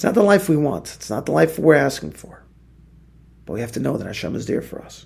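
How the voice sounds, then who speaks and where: Talking at a very fast pace, a man with a medium pitch and vocal fry swings very widely in pitch and greatly in loudness. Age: 40s. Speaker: rabbi teaching a daily Torah class. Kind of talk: religious text study lecture. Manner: repeats words when speaking off the cuff.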